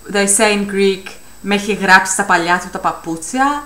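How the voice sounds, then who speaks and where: A woman speaks fairly slowly, and audible room echo hangs around her words. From South Africa. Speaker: vlogger. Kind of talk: casual vlog talk.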